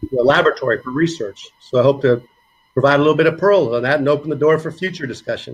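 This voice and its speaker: Somewhat breathy and fairly high in pitch, a man with an American accent talks with ordinary pitch variation. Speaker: physical therapy professor. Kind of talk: presentation.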